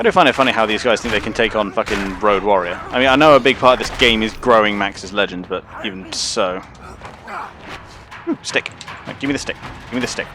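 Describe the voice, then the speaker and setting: With an English accent, a man speaks at a very fast pace but leaves long, frequent pauses. His pitch is fairly low with ordinary variation, and there is noticeable background noise. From England. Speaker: game streamer. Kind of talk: casual live-stream commentary. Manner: casual, filler-heavy rambling speech.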